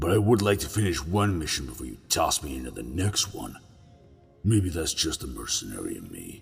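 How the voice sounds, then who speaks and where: A man's put-on character voice, growling and very deep, with very wide pitch swings, big swings in loudness, a fairly quick pace and faint music in the background. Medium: read story. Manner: casual, sarcastic.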